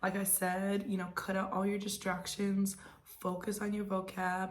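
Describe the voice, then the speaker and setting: Over audible room echo, a somewhat breathy woman with an American accent speaks at a moderate pace. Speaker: real estate agent. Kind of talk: casual advice monologue.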